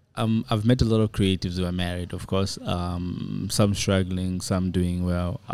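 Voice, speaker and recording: Someone speaks with a South African accent at a fairly slow pace and with fairly even intonation. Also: man. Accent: picking up a South African. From Zambia. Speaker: filmmaker and director. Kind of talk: casual interview.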